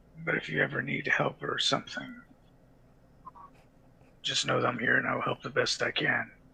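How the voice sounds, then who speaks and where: A man puts on a raspy character voice. He moves at a moderate pace with long, frequent pauses. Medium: actual play. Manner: earnest, polite.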